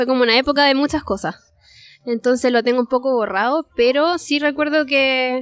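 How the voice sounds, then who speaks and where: A woman in a Chilean accent speaks very fast at a high pitch with ordinary pitch variation. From Chile (Parral). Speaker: illustrator. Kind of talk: interview. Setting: restaurant.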